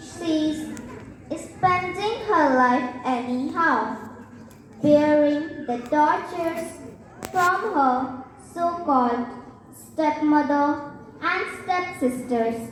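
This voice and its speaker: Using a put-on character voice, a female-sounding speaker talks in a high pitch at a very slow pace, with long, frequent pauses and a clear echo. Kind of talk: school stage skit. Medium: stage play. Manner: warm, doting.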